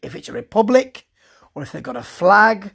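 The speaker has a British accent. The recording is very clean and the background silent. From Britain. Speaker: wrestling show reviewer. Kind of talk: solo review monologue. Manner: hesitant, full of fillers; casual, chatty.

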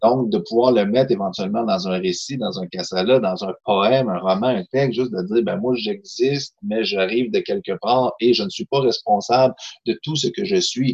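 A man at a moderate pace, with very wide pitch swings and hardly any pauses. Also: medium pitch for a man. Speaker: novelist, poet and social worker. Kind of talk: casual chat.

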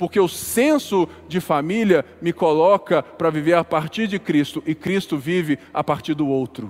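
A man's high voice at a fairly slow pace, with ordinary pitch variation and hardly any pauses. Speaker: pastor. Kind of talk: sermon.

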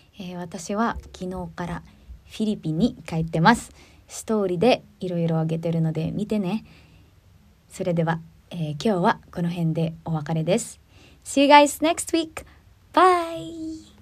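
Somewhat breathy and fairly slow, a woman's voice moves with ordinary pitch variation and big swings in loudness. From Philippines. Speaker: singer and podcast host. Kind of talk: casual chat. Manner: halting.

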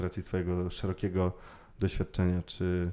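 In a very clean recording with a silent background, a man speaks at a moderate pace in a very deep, low, dark and mellow voice. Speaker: podcast host. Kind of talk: casual interview chat.

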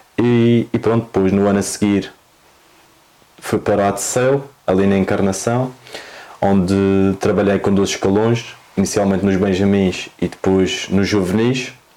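In a Madeiran accent, a man with a fairly low pitch speaks at a fairly slow pace with fairly even intonation, very even loudness, and long, frequent pauses over noticeable background noise. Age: 20s. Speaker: football coach. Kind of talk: interview.

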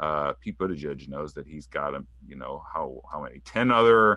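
Very deep and low, a man's voice carries vocal fry, lively intonation and a bright, sharp tone. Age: 30s. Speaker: political writer and author. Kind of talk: interview.

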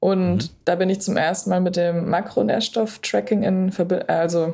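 On a very clean recording with a silent background, a woman speaks at a medium pitch and moderate pace in a dark, mellow tone. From Berlin, Germany. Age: 20s. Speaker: sports nutrition coach. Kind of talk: podcast interview.

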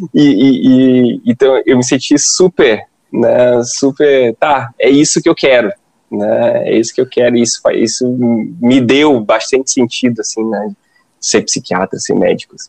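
A man speaks at a fairly slow pace in dry, close sound with no echo. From Ceará, Brazil (Fortaleza). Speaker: psychiatrist. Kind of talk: casual chat.

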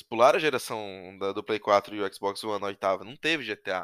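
Recorded very cleanly against a silent background, a man speaks at a fairly low pitch with ordinary variation, the sound dry and close with no echo. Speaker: podcast host. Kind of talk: casual chat. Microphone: laptop webcam mic, lower voice quality.

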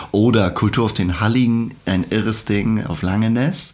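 Against noticeable background noise, a man talks at a fairly slow pace with a medium pitch and lively intonation. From northern Germany, Schleswig-Holstein (Hohenwestedt). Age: 50s. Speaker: musician and secondary school teacher. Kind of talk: casual chat.

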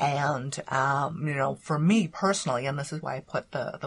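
Very deep and low, a woman's somewhat breathy voice moves at a moderate pace with ordinary pitch variation. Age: 50s. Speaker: former lawyer, coach and author. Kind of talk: interview. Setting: library recording room, face to face.

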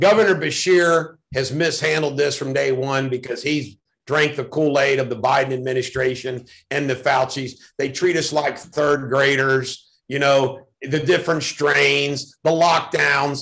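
A man talks at a fairly slow pace with fairly even intonation. His voice sits fairly high and is an unremarkable speaking voice. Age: 50s. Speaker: political candidate. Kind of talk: interview.

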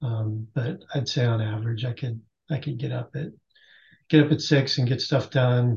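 At a moderate pace, a man speaks in a medium-pitched, somewhat breathy voice with ordinary pitch variation. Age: 50s. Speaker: masters CrossFit athlete. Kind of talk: casual chat.

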